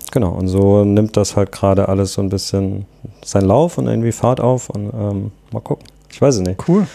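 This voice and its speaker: A man's fairly low voice holds a moderate pace and ordinary pitch variation. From southwestern Germany. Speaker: drinks startup founder and designer. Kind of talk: casual interview. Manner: hesitant, many fillers.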